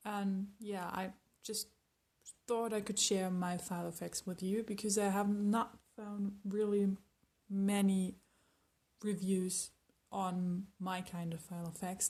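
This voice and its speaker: At a very slow pace with long, frequent pauses, a woman speaks at a medium pitch in a monotone, flat intonation, her tone dark and mellow and somewhat breathy. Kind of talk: casual talk to camera. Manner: casual, hesitant.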